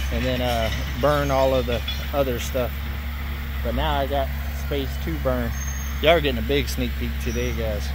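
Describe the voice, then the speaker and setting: With noticeable background noise but a dry sound with no echo, a man speaks at a moderate pace, leaving long, frequent pauses. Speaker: homesteader vlogger. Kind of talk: casual vlog chat. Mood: relaxed, plain-spoken. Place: forest. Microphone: phone near.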